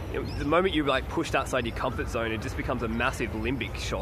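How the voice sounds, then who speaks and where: Noticeable background noise runs through the clip. A man speaks very fast over it. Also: dry sound with no echo. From Australia, country New South Wales. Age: 20s. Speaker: video blogger; vlogger. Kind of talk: vlog monologue. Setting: outdoors in a park. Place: forest. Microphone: phone near.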